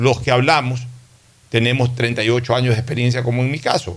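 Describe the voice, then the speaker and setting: A man's normal speaking voice, medium in pitch, at a fairly quick pace. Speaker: radio host. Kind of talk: radio talk show, political discussion.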